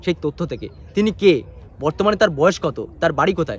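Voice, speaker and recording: High male pitch, with ordinary variation in it. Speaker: news presenter. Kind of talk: news bulletin introduction.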